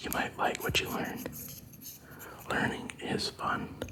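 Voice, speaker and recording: A man is whispering. Noticeable background noise runs underneath. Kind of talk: ASMR whispering talk to camera. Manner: whispered, soft.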